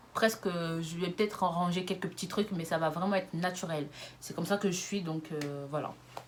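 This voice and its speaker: With noticeable background noise, a woman talks in a fairly low pitch using fairly even intonation. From France, Lyon. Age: 20s. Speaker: YouTuber. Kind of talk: casual vlog monologue. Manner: fast.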